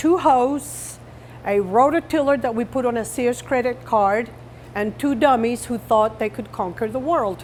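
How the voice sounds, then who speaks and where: In a Colombian accent, the speaker talks at a fairly slow pace with ordinary pitch variation. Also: woman. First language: Spanish. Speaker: farmer. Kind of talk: interview.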